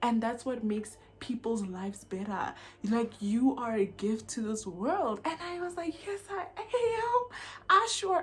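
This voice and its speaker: A woman speaks loudly at a fairly slow pace, her fairly high voice swinging very widely in pitch. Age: young. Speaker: YouTuber, self-help vlogger. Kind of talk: personal vlog talk to camera. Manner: loud, lively.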